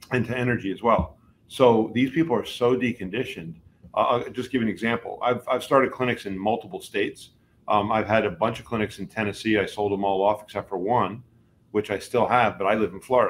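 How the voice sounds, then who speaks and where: With an American accent, a man talks at a fairly quick pace in an unremarkable speaking voice of medium pitch and ordinary pitch variation. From New Jersey. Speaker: chiropractor. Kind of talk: interview.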